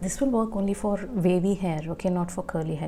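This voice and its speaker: Over music in the background, a soft-spoken woman talks at a fairly quick pace and a medium pitch. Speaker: beauty vlogger. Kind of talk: tutorial. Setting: at home after washing hair. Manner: casual.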